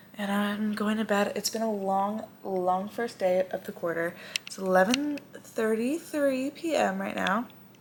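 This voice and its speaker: A woman speaks fairly slowly at a medium pitch with ordinary pitch variation and hardly any pauses. Noticeable background noise runs under her voice. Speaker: student vlogger. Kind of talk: casual vlog.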